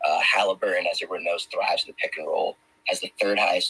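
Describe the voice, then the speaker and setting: Very fast speech in a dry, close sound with no echo, over noticeable background noise. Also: man. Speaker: sports betting guest analyst. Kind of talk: sports betting pick breakdown. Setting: live audio room stream.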